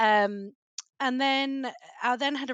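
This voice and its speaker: With a British accent, a woman talks with lively intonation in a dry, close sound with no echo. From Britain. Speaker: cybersecurity policy expert. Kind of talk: podcast interview.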